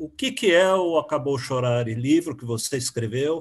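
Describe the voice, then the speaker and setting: A man speaks at a moderate pace. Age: 60s. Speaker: interviewer. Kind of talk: interview.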